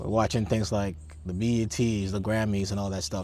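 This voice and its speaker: The room echo is audible as a man speaks at a moderate pace. His voice is fairly low, with ordinary pitch variation. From Ghana. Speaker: military officer and data scientist, podcast guest. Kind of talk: casual interview. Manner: hesitant, many fillers.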